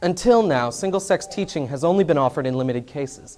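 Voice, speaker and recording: Noticeable background noise surrounds a man talking at a very fast pace. His fairly high pitch carries lively intonation. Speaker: broadcast news reporter. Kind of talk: TV news report narration.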